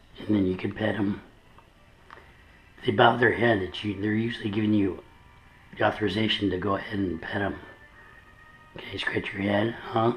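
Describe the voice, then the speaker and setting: With music in the background, a man speaks at a moderate pace in a fairly low pitch, using monotone, flat intonation and long, frequent pauses. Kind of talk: talking to a pet bird. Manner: coaxing, encouraging.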